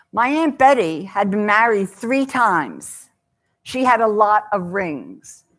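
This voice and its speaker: A woman talks at a very slow pace in a fairly high pitch. The background is quiet. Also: lively intonation. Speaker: author and speaker on downsizing. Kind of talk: talk to a live audience. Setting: stage with audience. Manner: loud; humorous storyteller. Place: hall.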